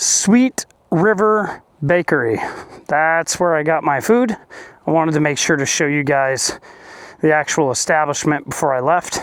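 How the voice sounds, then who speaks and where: A man with a fairly high pitch speaks at a moderate pace. His intonation is lively, broken by long, frequent pauses. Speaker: motorcycle vlogger. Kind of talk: casual vlog narration. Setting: outdoors. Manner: loud.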